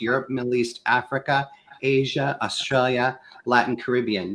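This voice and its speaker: A man with an American accent speaks at medium pitch and a moderate pace, in a normal speaking voice. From US Midwest, Kansas. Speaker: sales consultant with a doctorate. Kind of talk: panel discussion on a live show.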